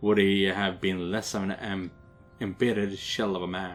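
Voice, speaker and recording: Music plays behind the speaker. He is a man with a fairly low-pitched voice. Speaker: gaming video creator playing a visual novel. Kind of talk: reading aloud; casual commentary. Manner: stumbling, self-correcting.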